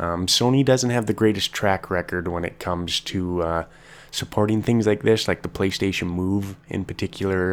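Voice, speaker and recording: A man with a Canadian accent, a fairly low pitch, ordinary pitch variation and a moderate pace. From Canada. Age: 20s. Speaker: podcast host. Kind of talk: casual solo podcast monologue. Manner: hesitant, many fillers.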